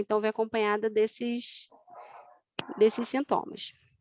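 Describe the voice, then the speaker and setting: A woman speaks in a fairly high voice with fairly even intonation. The sound is dry and close, with no echo. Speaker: osteopathy lecturer. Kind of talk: online lecture. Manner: fast.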